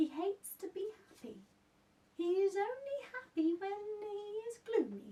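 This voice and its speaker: A woman puts on a squeaky character voice. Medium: read story. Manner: whispering, confiding.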